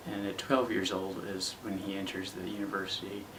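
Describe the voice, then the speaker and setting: A soft-spoken man with fairly low pitch, moderate pace and fairly even intonation, over noticeable background noise. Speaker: actor. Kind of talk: casual talk to camera. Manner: quiet, soft-spoken.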